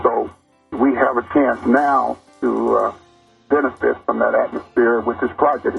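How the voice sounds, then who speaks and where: A man speaks at a very even loudness with music in the background. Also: fairly slow pace. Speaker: construction project advisor, interview guest. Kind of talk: interview answer, community forum talk.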